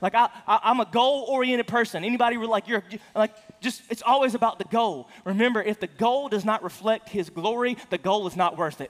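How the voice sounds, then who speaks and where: A man talks at a fairly quick pace with hardly any pauses, in an animated tone and a high pitch with ordinary pitch variation. The sound is dry and close with no echo, though noticeable background noise is present. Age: 40s. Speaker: pastor. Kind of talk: sermon. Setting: church.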